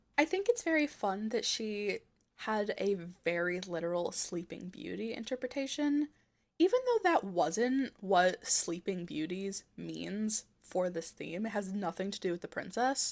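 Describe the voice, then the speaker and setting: A woman with an American accent speaks in a plain, everyday voice at a medium pitch, fairly slowly and with lively intonation. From Texas. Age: 20s. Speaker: fashion YouTuber. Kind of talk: video essay commentary.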